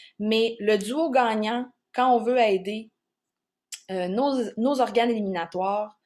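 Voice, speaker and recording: On a very clean recording with a silent background, a woman with a Quebec accent speaks in a fairly high voice with fairly even intonation. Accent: Québécois French. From Quebec, Charlevoix region. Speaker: naturotherapist presenting on herbal plants. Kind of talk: educational workshop talk. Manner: casual, with frequent hesitations.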